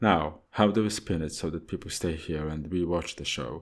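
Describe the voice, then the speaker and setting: A man with a Polish accent talks at a moderate pace with fairly even intonation and a very deep, low pitch. The recording is very clean, with a silent background. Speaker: audiobook narrator. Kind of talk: audiobook fiction reading.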